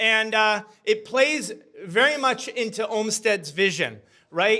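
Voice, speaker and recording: Raising and projecting his voice, a man talks fairly slowly at a high pitch, his tone bright, sharp and animated, with ordinary pitch variation. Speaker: community activist and speaker. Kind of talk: short public talk. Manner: loud.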